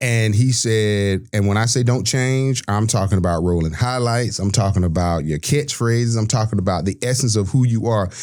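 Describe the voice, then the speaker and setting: Recorded very cleanly against a silent background, a man with a Southern US accent speaks at a fairly low pitch in an animated tone. He keeps a moderate pace, ordinary pitch variation and very even loudness. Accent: Southern US (Georgia). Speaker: sports broadcaster. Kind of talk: podcast interview.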